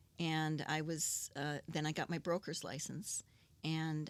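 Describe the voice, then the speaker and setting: This woman has an Upper Midwest accent and a very deep, low pitch. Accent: Upper Midwest American. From Saint Paul, Minnesota. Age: 60s. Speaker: businesswoman. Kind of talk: interview answer.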